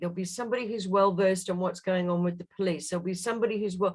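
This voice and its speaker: A woman's somewhat breathy, medium-pitched voice at a very fast pace. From Australia. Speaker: guest. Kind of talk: casual chat.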